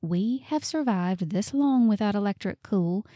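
In a Southern US accent, a woman speaks with a dark, mellow tone and lively intonation, the recording very clean with a silent background and a dry, close sound with no echo. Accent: Southern American. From Southern United States. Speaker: voice actor. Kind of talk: audiobook narration.

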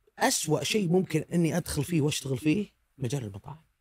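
A man with a fairly high pitch and a dark, mellow tone sounds somewhat breathy, his intonation lively. The sound is dry with no echo, over a quiet background. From Saudi Arabia. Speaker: food blogger; podcast guest, food blogger. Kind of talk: casual chat. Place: studio. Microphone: studio mic.

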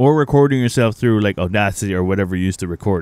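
Fast and fairly low-pitched, a man talks with ordinary pitch variation in a clear, smooth, slightly mellow tone. The recording is very clean, with a silent background.

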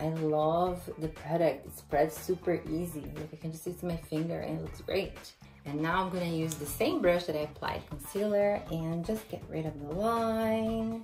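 Faint music plays in the background as a woman speaks. Her voice is fairly low and her pace fairly slow. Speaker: beauty vlogger. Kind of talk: casual makeup tutorial. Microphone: phone near.

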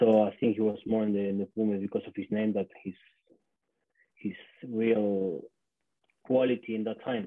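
With an Argentine accent, a man talks at a moderate pace in a fairly low pitch and fairly even intonation, the sound dry with no echo over a quiet background. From Argentina. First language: Spanish. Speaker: former rugby player. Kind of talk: casual chat. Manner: halting. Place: home room. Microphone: webcam.

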